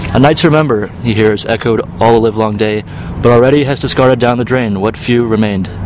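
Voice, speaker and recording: Over noticeable background noise, a man at medium pitch talks very fast with fairly even intonation. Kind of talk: poetry reading aloud.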